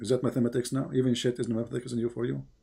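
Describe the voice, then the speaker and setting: At a very fast pace, a man with a medium pitch talks in a dark, mellow tone marked by vocal fry. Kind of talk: heated debate. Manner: animated, interrogating.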